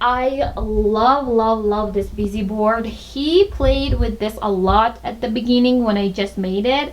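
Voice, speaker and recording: Speaking at a fairly slow pace with a Tajik accent, a woman with a fairly high pitch and ordinary pitch variation is heard over noticeable background noise and audible room echo. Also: hardly any pauses. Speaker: lifestyle vlogger, mother. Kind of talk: home tour vlog. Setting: at home. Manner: casual, hesitant with fillers.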